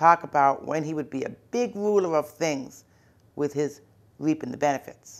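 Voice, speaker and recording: This woman's voice is very deep and low in pitch. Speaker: college professor and author. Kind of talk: literary narration.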